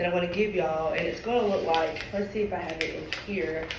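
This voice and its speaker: A woman is heard with audible room echo. Noticeable background noise surrounds her voice. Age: 20s. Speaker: nurse. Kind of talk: presentation. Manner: halting.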